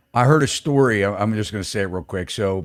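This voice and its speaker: On a very clean recording with a silent background, a man with an American accent talks at a fairly low pitch with ordinary pitch variation. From northeastern US. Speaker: podcast host, real estate broker. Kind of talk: casual chat. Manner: animated.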